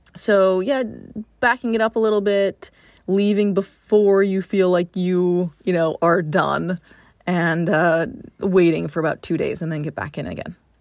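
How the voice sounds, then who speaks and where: A woman's normal speaking voice, medium-pitched with ordinary pitch variation, at a fairly slow pace against a quiet background. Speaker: personal trainer for pregnancy and postnatal fitness. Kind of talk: casual interview about prenatal training.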